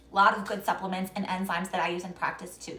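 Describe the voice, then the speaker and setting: A woman talks very fast amid noticeable background noise. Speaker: naturopathic health practitioner. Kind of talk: live-stream Q&A talk. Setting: Instagram live stream.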